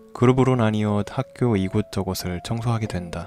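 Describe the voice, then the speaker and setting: Music plays in the background. A man speaks in a fairly low pitch with ordinary pitch variation. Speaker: horror radio narrator. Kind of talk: horror story narration, read aloud in first person.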